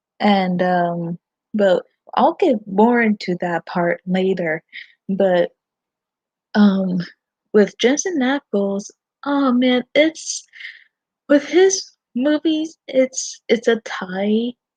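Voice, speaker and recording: A woman with a fairly high, somewhat breathy voice and lively intonation speaks at a very slow pace with long, frequent pauses, recorded dry and close with no echo. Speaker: fan vlogger. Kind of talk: livestream chat. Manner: halting, many fillers.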